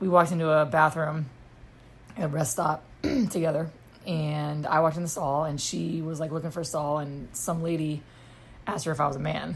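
A woman's very deep, low, somewhat breathy voice with long, frequent pauses. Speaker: podcast host living with lupus. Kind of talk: casual chat. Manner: animated.

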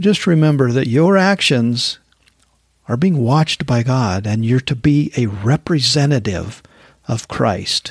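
At a fairly slow pace, a somewhat breathy man speaks at a medium pitch with lively intonation. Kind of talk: devotional talk. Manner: casual, laughs often.

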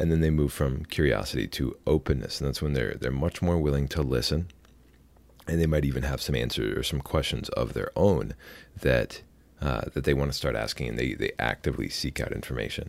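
A man with a very deep, low pitch and vocal fry speaks at a fairly quick pace with ordinary pitch variation, on a very clean recording with a silent background. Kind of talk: solo podcast monologue. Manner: conversational with fillers.

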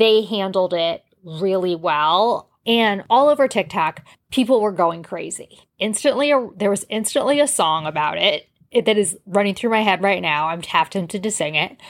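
This woman has a plain, everyday voice at medium pitch. She moves at a moderate pace with lively intonation. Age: 40s. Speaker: podcast host. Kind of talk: casual monologue. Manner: conversational.

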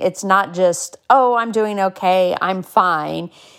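In a very clean recording with a silent background, a woman with an unremarkable speaking voice speaks at a medium pitch with fairly even intonation. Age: 40s. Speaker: podcast host and inspirational speaker. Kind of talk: casual monologue.

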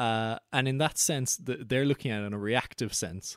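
A man in an Irish accent speaks at a medium pitch with ordinary pitch variation, the sound dry and close with no echo. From west of Ireland. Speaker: podcast host. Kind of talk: casual interview conversation.

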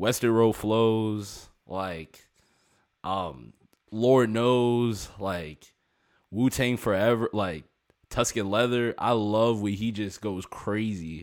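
A man speaks very slowly in a fairly low voice with ordinary pitch variation, on a very clean recording with a silent background. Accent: American. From US, Maryland. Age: 20s. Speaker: hip-hop producer and rapper. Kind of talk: casual interview chat.

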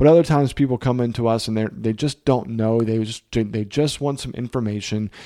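Talking at a fairly quick pace with hardly any pauses, a man with an American accent has a dark, mellow tone. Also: medium pitch for a man, fairly even intonation. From Virginia, south side of Richmond. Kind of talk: solo podcast monologue. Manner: casual, with frequent fillers.

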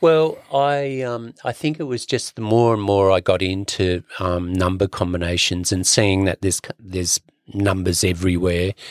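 A man's very deep, low voice, dry and close with no echo, with ordinary pitch variation, a moderate pace and hardly any pauses. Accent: Australian. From Sydney, Australia. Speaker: percussionist and author. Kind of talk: casual interview. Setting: studio.

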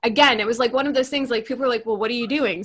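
A woman is talking. Her accent is American. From US Northeast, New York. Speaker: business coach. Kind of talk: casual chat. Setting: video call.

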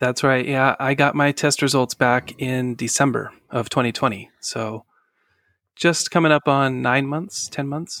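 An ordinary speaking voice from a man at a medium pitch, with fairly even intonation, in a dry, close sound with no echo and a very clean recording, silent background. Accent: American. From northern California. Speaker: podcast guest sharing family story. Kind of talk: personal testimony interview.

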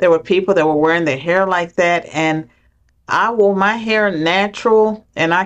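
Against a quiet background, a woman with an American accent and an unremarkable speaking voice talks at a moderate pace with ordinary pitch variation. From US South, rural southwestern Virginia. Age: 60s. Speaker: political scientist, former professor. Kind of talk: interview.

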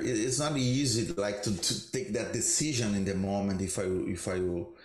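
A man with a Brazilian accent speaks at a moderate pace, somewhat breathy and fairly low in pitch. His pitch variation is ordinary, and the room echo is audible. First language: Portuguese. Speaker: jazz guitarist. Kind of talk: roundtable discussion.

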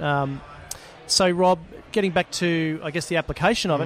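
His delivery runs fairly quick. The voice sits high. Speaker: podcast host. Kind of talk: casual interview. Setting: live at conference event.

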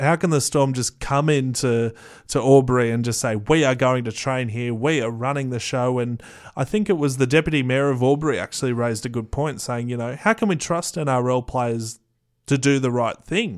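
The delivery keeps a moderate pace with ordinary pitch variation. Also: man, medium pitch for a man. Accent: Australian. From Australia, Canberra. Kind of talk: casual chat.

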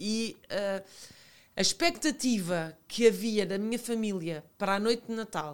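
A woman with a Lisbon accent, lively intonation, big swings in loudness and a fairly slow pace. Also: medium pitch for a woman. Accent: European Portuguese, Lisbon. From Portugal, Lisbon and Alentejo (Santo André). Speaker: TV presenter and former model. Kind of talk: casual chat.

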